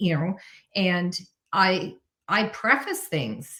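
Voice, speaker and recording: A woman speaks in a normal speaking voice with ordinary pitch variation. Her pitch is fairly low. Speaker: neurodiversity consultant. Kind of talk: interview.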